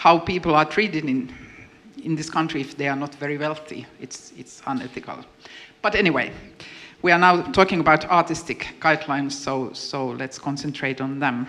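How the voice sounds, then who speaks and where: Moderate pace with ordinary pitch variation and big swings in loudness, amid noticeable background noise. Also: woman, very deep, low pitch for a woman. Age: 50s. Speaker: panel moderator, artist. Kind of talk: panel discussion. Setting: stage with audience.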